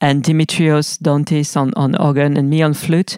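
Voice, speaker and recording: Her pitch very deep and low, a woman with a French accent speaks at a fairly slow pace with fairly even intonation. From France. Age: 40s. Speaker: musician. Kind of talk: interview monologue. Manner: halting.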